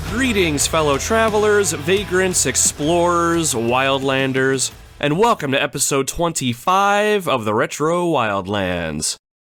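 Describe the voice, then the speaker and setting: A man's fairly slow, nearly pause-free speech over background music, very even in loudness, with very wide pitch swings. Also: fairly high pitch for a man. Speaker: gaming podcast host. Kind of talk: solo podcast monologue.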